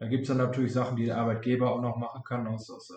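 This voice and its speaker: A man speaks in a monotone, with flat intonation. His tone is dark and mellow, and somewhat breathy. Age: 20s. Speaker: insurance and finance advisor. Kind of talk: interview.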